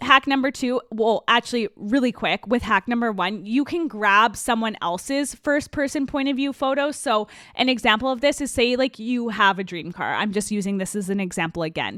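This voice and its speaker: The delivery is animated, with a bright, sharp tone and ordinary pitch variation. There are hardly any pauses, and the sound is dry and close with no echo. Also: woman, fairly high pitch for a woman. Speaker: podcast host. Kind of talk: podcast monologue. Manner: fast.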